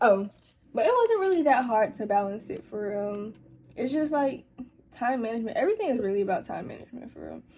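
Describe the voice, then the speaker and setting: A dark, mellow tone, somewhat breathy. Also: woman. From Atlanta, US South. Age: young. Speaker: YouTuber and college student. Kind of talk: casual Q&A chat. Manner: casual, conversational.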